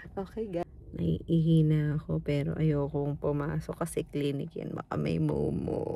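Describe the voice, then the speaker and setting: A woman talks at a fairly slow pace with hardly any pauses. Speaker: family vlogger. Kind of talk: casual vlog. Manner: soft-spoken.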